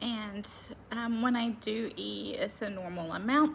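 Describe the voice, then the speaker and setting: Very slowly and in a relaxed tone, a woman with a Southern US accent speaks in a somewhat breathy, fairly high voice. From US South. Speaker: lifestyle vlogger. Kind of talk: casual vlog. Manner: chatty, relaxed.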